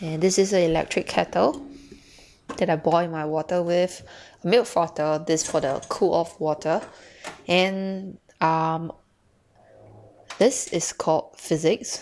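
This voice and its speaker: With light background noise behind her, a woman talks at a fairly slow pace and a fairly low pitch, using ordinary pitch variation and long, frequent pauses. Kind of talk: casual home tour narration. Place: kitchen. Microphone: phone near.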